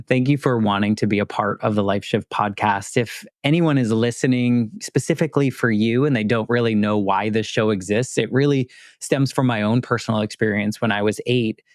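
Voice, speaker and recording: Recorded dry and close with no echo against a quiet background, a man uses an ordinary speaking voice at medium pitch, with fairly even intonation, very even loudness and a fairly quick pace. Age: 40s. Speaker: podcast host. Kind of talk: interview conversation.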